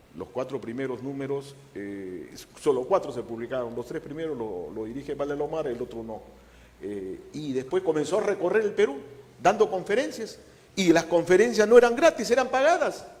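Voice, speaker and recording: Over noticeable background noise, a man talks at a moderate pace in a fairly high pitch. His delivery shows very wide pitch swings and big swings in loudness. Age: 70s. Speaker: historian. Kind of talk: interview. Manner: halting.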